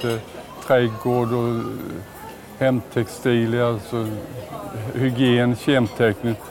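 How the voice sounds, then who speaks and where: Crowd noise runs in the background as a man speaks with audible room echo. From Småland, Sweden. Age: 60s. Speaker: retail company CEO. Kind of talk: casual interview while walking. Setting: walking through a large store.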